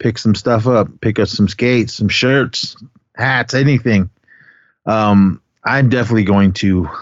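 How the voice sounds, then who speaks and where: A man talks at a moderate pace. His pitch sits in the medium range, and his intonation stays fairly even. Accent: American. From Oakland, California. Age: 50s. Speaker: podcast host. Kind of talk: casual chat.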